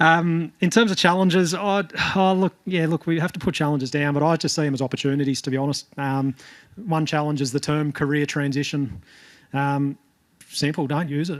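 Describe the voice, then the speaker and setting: A man speaks with an Australian accent. His pitch is fairly high and his pace fairly quick. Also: ordinary pitch variation. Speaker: jockey coach. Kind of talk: panel discussion report-back. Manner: hesitant, many fillers.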